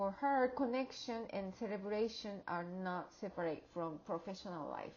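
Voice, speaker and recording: A woman speaks at a fairly slow pace, her medium-pitched, somewhat breathy voice showing ordinary pitch variation. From outside the US. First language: not English. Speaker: graduate student and educator. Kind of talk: class project presentation. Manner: halting, with fillers and restarts.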